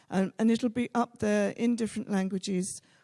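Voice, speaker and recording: A woman speaks at a fairly slow pace with a fairly high pitch and a dark, mellow tone. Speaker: event host. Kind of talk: announcements. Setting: hall with live audience and streaming. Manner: hesitant, many fillers.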